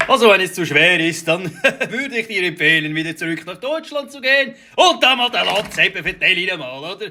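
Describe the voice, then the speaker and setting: Projecting in a raised voice, a man speaks at a high pitch with very wide pitch swings and big swings in loudness. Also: moderate pace. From Switzerland. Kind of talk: satirical reaction commentary. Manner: mocking, indignant.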